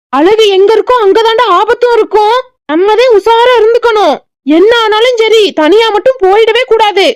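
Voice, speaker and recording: An extremely high-pitched cartoonish character voice talks at a fairly slow pace. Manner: scolding, teasing.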